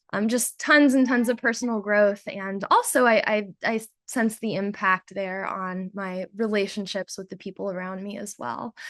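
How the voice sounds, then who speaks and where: An ordinary speaking voice, this woman talks with an American accent at a medium pitch, ordinary pitch variation, big swings in loudness and hardly any pauses, in a dry, close sound with no echo over a quiet background. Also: moderate pace. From United States. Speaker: volunteer coordinator. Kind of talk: presentation.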